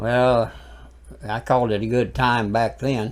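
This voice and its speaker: A man's fairly low, fairly even voice at a fairly slow pace, with an Alabama accent. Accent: Southern US (Alabama). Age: 80s+. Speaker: preacher. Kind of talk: casual interview.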